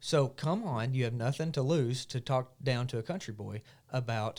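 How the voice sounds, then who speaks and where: In a very clean recording with a silent background, a man with an Arkansas accent speaks at medium pitch and a moderate pace with ordinary pitch variation. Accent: southern US, Arkansas. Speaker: market owner and health content creator. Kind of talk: podcast interview. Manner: animated.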